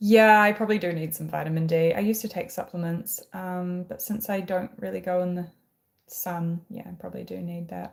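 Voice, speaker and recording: Someone with a New Zealand accent speaks at a moderate pace. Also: woman. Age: 20s. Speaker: livestreamer. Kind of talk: casual chat. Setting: live stream at home.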